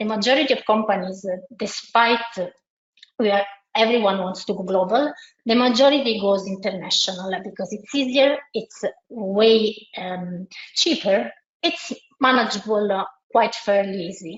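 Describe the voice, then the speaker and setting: A woman with an Italian accent speaks at a moderate pace, her fairly high pitch showing ordinary pitch variation. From Italy. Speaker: multilingual SEO consultant. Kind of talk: webinar presentation. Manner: hesitant, many fillers and restarts.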